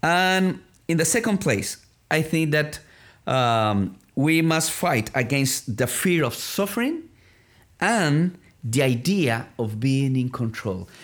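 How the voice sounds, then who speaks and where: A man at a very slow pace and fairly high pitch with a Spanish accent and very wide pitch swings, on a very clean recording with a silent background. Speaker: ministry development director. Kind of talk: interview.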